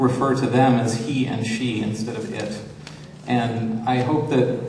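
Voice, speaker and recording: Audible room echo and light background noise surround a man speaking with fairly even intonation. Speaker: panelist. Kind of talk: seminar talk. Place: hall.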